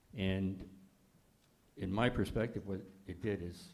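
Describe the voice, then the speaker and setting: This man has a very deep, low pitch and a dark, mellow tone. Audible room echo surrounds his voice. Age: 80s+. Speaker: holocaust survivor. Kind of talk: panel discussion. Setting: congregation event with audience.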